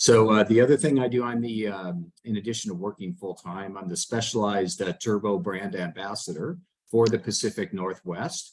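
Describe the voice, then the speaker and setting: A man speaks in a normal speaking voice, fairly low in pitch. His intonation is lively and his pace moderate. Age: 60s. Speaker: e-bike brand ambassador and club member. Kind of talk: online panel Q&A.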